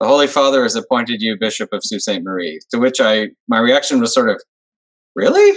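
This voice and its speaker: A man with a Canadian accent talks at a fairly quick pace. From Montreal, Quebec. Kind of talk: interview. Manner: conversational.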